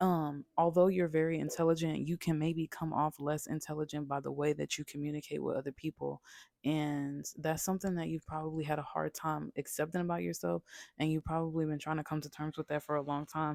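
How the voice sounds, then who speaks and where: A woman's very deep, low voice, monotone and flat, at a fairly quick pace, on a very clean recording with a silent background. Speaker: tarot reader. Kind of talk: tarot reading. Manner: casual, filler-heavy.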